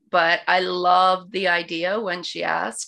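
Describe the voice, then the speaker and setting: Vocal fry colors a woman's fairly low-pitched voice. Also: very clean recording, silent background. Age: 40s. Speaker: podcast co-host. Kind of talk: casual interview.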